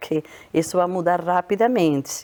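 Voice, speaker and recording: A woman at a moderate pace. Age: 60s. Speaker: public health researcher. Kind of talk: interview.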